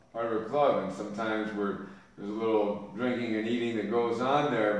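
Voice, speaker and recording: Noticeable background noise sits behind speech at a fairly quick pace. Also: man. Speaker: personal trainer. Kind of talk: interviewer questions.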